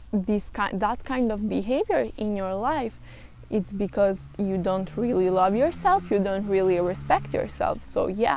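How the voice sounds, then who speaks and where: A woman with a non-native accent speaks at a fairly slow pace. The recording is very clean, with a silent background. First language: not English. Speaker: self-help vlogger. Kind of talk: casual monologue. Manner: halting.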